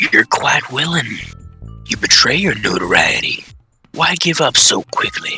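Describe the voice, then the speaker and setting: A man talks in a put-on character voice at a moderate pace. Faint music plays in the background. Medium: audio drama.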